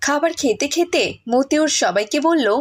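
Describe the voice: Lively in intonation, a woman speaks at a moderate pace with a high pitch.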